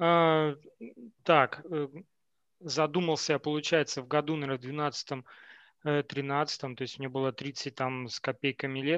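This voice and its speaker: Speaking at a very slow pace with long, frequent pauses, a man with a fairly high pitch keeps his intonation fairly even, the sound dry and close with no echo over a quiet background. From Siberia, Novokuznetsk. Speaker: software engineer. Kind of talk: casual chat.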